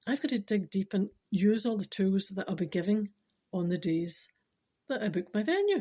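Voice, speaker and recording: A woman with a Scottish accent speaks at a moderate pace, her pitch medium and its variation ordinary. Her tone is dark and mellow, somewhat breathy. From Scotland. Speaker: spiritual speaker. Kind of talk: casual talk to camera.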